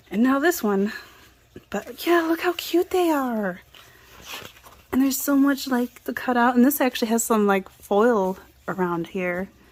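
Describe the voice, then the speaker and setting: Over noticeable background noise, a woman with a high pitch talks at a fairly slow pace, with long, frequent pauses and very wide pitch swings. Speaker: craft and book vlogger. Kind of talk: casual show-and-tell haul video. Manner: short breaths, little pauses.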